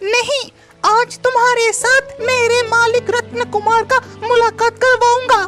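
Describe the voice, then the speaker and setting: A cartoonish character voice speaks at a fairly slow pace with faint music in the background. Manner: friendly, earnest.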